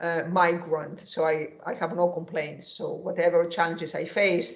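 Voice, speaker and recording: The speaker talks at a fairly slow pace in a Greek accent. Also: woman. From Greece. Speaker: economics professor. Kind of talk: interview. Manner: halting.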